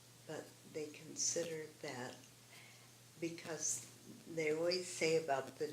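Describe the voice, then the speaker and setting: A woman speaks at a very slow pace. Audible room echo and noticeable background noise surround her voice. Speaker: artist and former family therapist. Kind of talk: interview.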